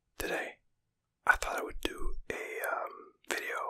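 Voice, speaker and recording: Someone whispers at a very slow pace. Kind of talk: ASMR casual gaming talk. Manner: whispered.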